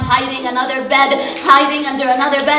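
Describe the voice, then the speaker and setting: A woman's intense, monotone, flat delivery at a moderate pace, with audible room echo and light background noise. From Palestinian. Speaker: spoken word poet and activist. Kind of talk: poetry reading. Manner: intense, emphatic, repeated phrasing. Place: hall. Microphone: handheld.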